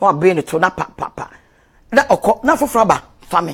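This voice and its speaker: Very wide pitch swings at a fairly quick pace over a quiet background. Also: woman. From Ghana. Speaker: love and relationship coach; relationship coach. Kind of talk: live video talk. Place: home room. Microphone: lapel.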